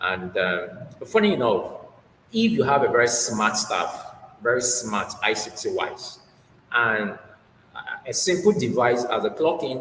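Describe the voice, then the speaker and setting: A man takes a fairly slow pace. Noticeable noise can be heard behind him. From Nigeria. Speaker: HR manager and researcher. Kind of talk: interview.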